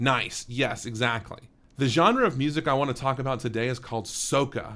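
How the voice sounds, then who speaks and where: A man's fairly high voice with an animated tone. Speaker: elementary music teacher. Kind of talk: online lesson for children. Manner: fast.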